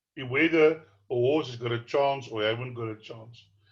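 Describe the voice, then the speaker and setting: A somewhat breathy male voice goes along at a moderate pace. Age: 60s. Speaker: horse racing tipster. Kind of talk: tutorial.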